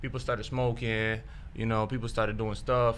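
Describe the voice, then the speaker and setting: A man speaks at a medium pitch with a bright, sharp tone. Audible room echo surrounds the voice. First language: Spanish. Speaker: guest sharing testimony. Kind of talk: testimony. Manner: casual, halting with fillers.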